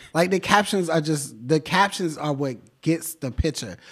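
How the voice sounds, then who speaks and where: This man talks at a fairly slow pace. He has an American accent. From Washington, D.C. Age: 20s. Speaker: painter. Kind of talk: casual interview. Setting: art gallery.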